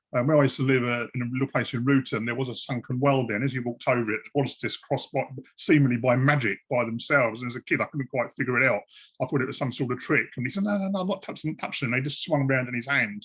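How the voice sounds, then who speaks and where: A man speaks at a very fast pace. His pitch is medium. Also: ordinary pitch variation. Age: 60s. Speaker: podcast host. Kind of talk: interview.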